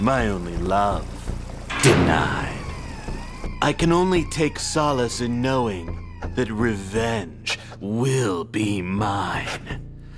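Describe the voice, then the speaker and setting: Over loud background music, a man with a fairly low pitch uses a put-on character voice at a very slow pace. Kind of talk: hard-boiled voice-over parody. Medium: comedy sketch. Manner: grim, brooding, melodramatic.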